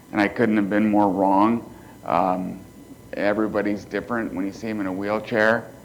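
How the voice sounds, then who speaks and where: A man's fairly low, monotone voice with flat intonation, moderate pace and audible room echo. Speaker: motivational speaker, quadriplegic. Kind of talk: keynote speech. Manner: quiet, cannot raise voice.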